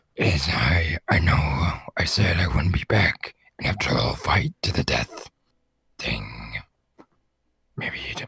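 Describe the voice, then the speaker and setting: A raspy, put-on character voice. It moves at a fairly slow pace with long, frequent pauses. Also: man, very deep, low pitch for a man. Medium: game stream. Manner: awkward, apologetic.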